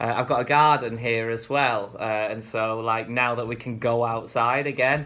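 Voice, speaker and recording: A bright, sharp tone with a northern English accent. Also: man. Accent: northern English, getting stronger. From northern England. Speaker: vlogger. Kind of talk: casual vlog monologue. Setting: speaking to camera at home. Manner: relaxed, rambling with fillers.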